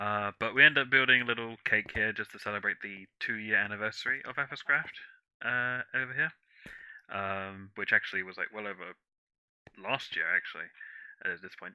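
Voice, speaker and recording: A man with an Essex accent speaks at a moderate pace, leaving long, frequent pauses. His loudness rises and falls sharply. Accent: near-Essex English. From London. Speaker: minecraft server owner. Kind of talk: casual chat, game tour.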